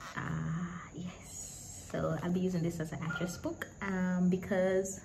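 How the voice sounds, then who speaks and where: With audible room echo and noticeable background noise, a woman speaks at a fairly slow pace. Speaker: book and journaling YouTuber. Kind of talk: casual vlog talk. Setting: at home with other people in the house.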